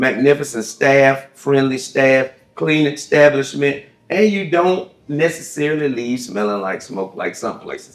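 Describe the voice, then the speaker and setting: With a Southern US accent, a man talks at a fairly slow pace, his fairly high pitch carried by lively intonation. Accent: Southern American. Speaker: talk show host. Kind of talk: casual chat. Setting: cigar lounge.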